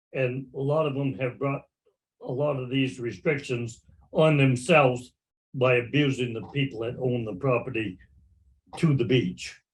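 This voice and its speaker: A man's somewhat breathy, medium-pitched voice at a moderate pace, with ordinary pitch variation and long, frequent pauses. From Maine. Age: 80s+. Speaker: clam digger. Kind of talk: casual chat.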